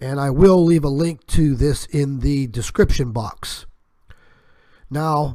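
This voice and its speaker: With long, frequent pauses and a very slow pace, a man speaks at a fairly high pitch with ordinary pitch variation. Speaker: YouTube channel host. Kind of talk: monologue warning video.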